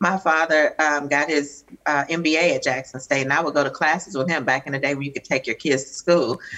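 A woman with a Southern US accent speaks in a very deep, low voice against a quiet background. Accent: Southern US drawl. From US South. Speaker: radio executive producer. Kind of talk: panel interview. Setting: video call. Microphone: video call.

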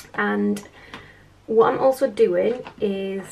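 A woman speaks with a British accent over light background noise. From UK. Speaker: budget vlogger. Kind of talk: casual vlog chat. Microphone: camera far.

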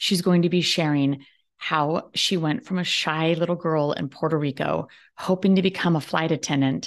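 A woman's very deep, low voice at a fairly slow pace against a quiet background. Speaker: podcast host. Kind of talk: interview. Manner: animated. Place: home room. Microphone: webcam.

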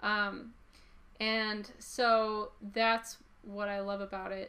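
The tone is bright and sharp. Intonation stays fairly even. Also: woman. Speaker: comic book artist. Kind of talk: casual talk to camera, interview-style monologue. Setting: museum exhibition video. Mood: relaxed, enthusiastic. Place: home room. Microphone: camera far.

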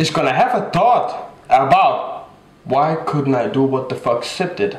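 Strong room echo around a man at medium pitch, with lively intonation and a fairly slow pace

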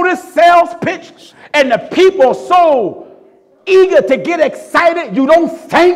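A man with an extremely high pitch, a fairly slow pace and ordinary pitch variation. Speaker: preacher. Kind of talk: sermon. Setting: church. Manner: emphatic, repetitive hammering of key phrases. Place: church. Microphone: podium.

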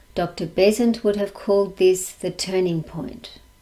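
Speaking in an Australian accent, a woman has a dark, mellow tone at medium pitch. Her pace is fairly slow. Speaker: lecturer, society president. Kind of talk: lecture; Q&A answers. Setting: video call. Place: home room. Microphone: webcam.

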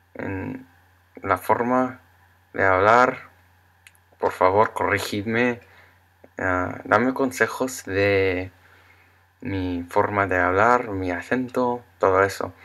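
Leaving long, frequent pauses, a man with a bright, sharp tone speaks at a very slow pace. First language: English (speaking Spanish). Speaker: Spanish learner vlogger. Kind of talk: casual vlog monologue. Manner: halting. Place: home room. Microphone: webcam.

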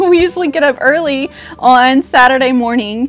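Faint music plays in the background. Over it, a woman speaks at a high pitch. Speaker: vlogger. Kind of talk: casual vlog chat. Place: street. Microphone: lapel.

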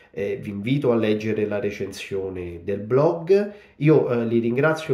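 With lively intonation and a very slow pace, a man speaks amid audible room echo. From Italy, Rome. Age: 40s. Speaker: novelist. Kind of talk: book presentation monologue. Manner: halting, many fillers. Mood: grateful, warm. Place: home room. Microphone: phone near.

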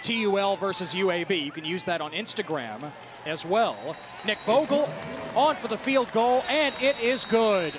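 Against noticeable background noise, a man with a high pitch speaks fairly slowly, his voice swinging very widely in pitch, the sound dry with no echo. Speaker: play-by-play announcer. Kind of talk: sports commentary. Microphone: headset.

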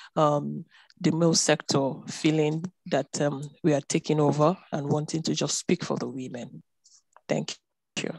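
The voice has vocal fry and monotone, flat intonation, recorded dry with no echo against a quiet background. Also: woman, very deep, low pitch for a woman, moderate pace. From Nigeria. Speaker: gender development expert. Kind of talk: audience question. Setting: video call. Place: home room. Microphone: video call.

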